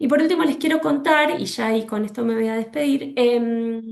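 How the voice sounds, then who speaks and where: Speaking at a moderate pace, a woman with a fairly high voice shows ordinary pitch variation. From Argentina. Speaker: legal specialist speaker. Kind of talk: webinar presentation. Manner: halting with fillers.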